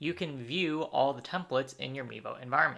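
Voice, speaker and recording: Against a silent background in a very clean recording, a man talks with vocal fry and a bright, sharp tone. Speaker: software trainer. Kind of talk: tutorial.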